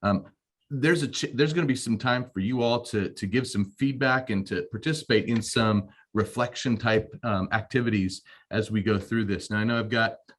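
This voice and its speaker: A man with an ordinary speaking voice, medium pitch, moderate pace and fairly even intonation. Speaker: school administrator and pastor. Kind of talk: webinar presentation.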